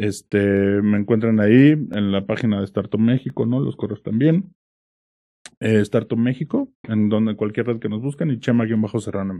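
With a central Mexican accent, a man talks at a moderate pace and fairly low pitch, his pitch variation ordinary. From Mexico, Pachuca (Hidalgo). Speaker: startup executive. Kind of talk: interview. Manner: casual.

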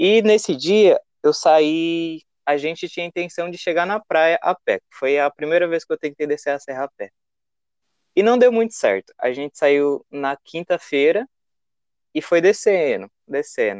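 With long, frequent pauses, a man talks at a fairly slow pace in a high voice with lively intonation, the sound dry and close with no echo. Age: 20s. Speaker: traveler. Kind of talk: casual interview.

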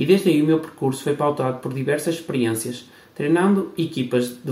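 A man with a plain, everyday voice speaks at a fairly quick pace, his fairly high pitch showing ordinary variation. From Portugal, Barcelos (Minho). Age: 30s. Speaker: podcast host, PE teacher and futsal coach. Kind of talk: scripted introduction.

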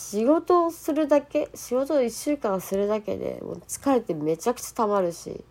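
With very wide pitch swings, the speech keeps a moderate pace. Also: woman, fairly high pitch for a woman. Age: 40s. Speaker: solo podcaster. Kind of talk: casual monologue. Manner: halting.

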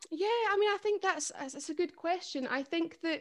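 A woman speaks with a Scottish accent. Her pace is fairly quick. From Scotland, Perthshire. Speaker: folk singer and history teacher. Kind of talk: casual interview. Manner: hesitant, many fillers.

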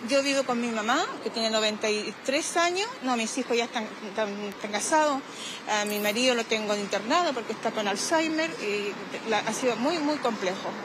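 This woman's voice sits fairly high, and her intonation is lively. Audible room echo and noticeable background noise come through. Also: moderate pace. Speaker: retiree interviewed on the street. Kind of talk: vox pop testimony.

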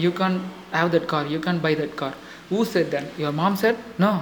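Over noticeable background noise, a man speaks at a moderate pace in a high pitch with ordinary pitch variation. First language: not English. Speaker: motivational podcaster. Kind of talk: motivational monologue. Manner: halting, many fillers.

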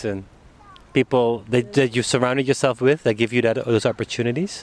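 Dry and close with no echo, a man's plain, everyday voice sits at a medium pitch with ordinary pitch variation. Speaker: podcast host. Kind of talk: casual interview conversation. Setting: outdoors on a public bench. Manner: laughs often, casual.

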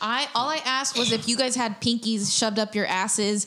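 The speech goes at a moderate pace with ordinary pitch variation. Noticeable background noise is present. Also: woman. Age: 20s. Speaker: comedian and podcast co-host. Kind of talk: casual chat. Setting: studio.

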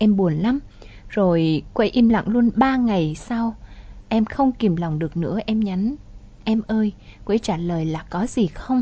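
A woman speaks at a fairly slow pace with lively intonation. Her voice is fairly high in pitch and somewhat breathy. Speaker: radio host. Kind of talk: radio show hosting, advice and commentary.

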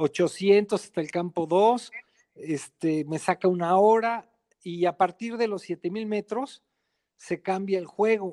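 A man's high-pitched voice with a dark, mellow tone and ordinary pitch variation at a very slow pace, dry and close with no echo, on a very clean recording with a silent background. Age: 50s. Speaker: mountaineer. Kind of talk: interview.

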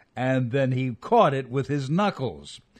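A man speaks in a plain, everyday voice at a moderate pace. His pitch varies in an ordinary way against a quiet background. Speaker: veteran radio personality and essayist.

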